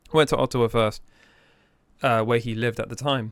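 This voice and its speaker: Words come out very fast. The background is silent and the recording very clean. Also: man. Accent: English. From England. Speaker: business owner. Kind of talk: casual interview chat.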